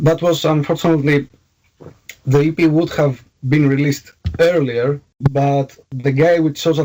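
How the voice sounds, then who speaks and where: A man's dark, mellow tone at a moderate pace, with fairly even intonation. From Greece. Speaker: metal band vocalist. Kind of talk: interview. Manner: halting, many fillers.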